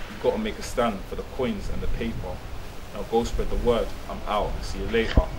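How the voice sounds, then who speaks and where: Noticeable background noise runs under the recording. A man with a London accent talks at a fairly quick pace. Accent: London, multicultural London English. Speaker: spoken word poet. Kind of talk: spoken word performance. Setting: outdoors on the street. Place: street. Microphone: handheld.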